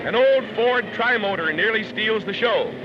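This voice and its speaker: Music plays in the background as a man speaks at an extremely high pitch. His pace is fairly slow, with ordinary pitch variation. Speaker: newsreel narrator. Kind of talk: vintage newsreel narration. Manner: lively, wry.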